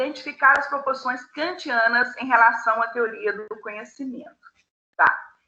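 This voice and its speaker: Against audible room echo, a woman projects a raised, high-pitched voice with a bright, sharp tone, moderate pace, ordinary pitch variation and big swings in loudness. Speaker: philosophy teacher. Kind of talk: online class lecture.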